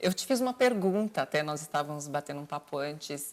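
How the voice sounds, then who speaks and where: A woman has an unremarkable speaking voice, with lively intonation at a fairly quick pace. The recording is very clean, with a silent background. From Brazil, Bahia. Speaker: TV host. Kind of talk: interview.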